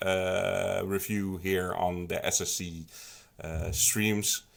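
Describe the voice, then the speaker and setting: Against a silent background in a very clean recording, a man speaks at a fairly low pitch with a slight Dutch accent. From Netherlands. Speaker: song contest committee member, stream co-host. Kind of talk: livestream panel Q&A. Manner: halting, many fillers.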